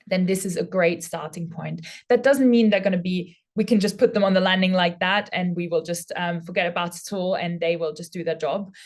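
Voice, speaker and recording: The speaker talks at a fairly quick pace with hardly any pauses. The voice is somewhat breathy, with fairly even intonation. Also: woman, medium pitch for a woman. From Austria. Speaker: former prison officer. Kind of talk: webinar presentation.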